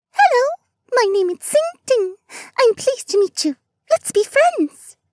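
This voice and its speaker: Pitched extremely high, a squeaky, put-on character voice moves at a moderate pace. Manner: cheerful, effusive.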